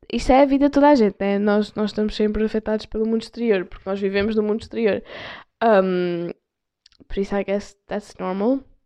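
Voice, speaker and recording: A woman with a European Portuguese accent speaks fairly quickly at a fairly high pitch, her intonation fairly even. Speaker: podcast host. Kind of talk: casual solo chat. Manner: casual, code-switching with English. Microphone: external mic on phone.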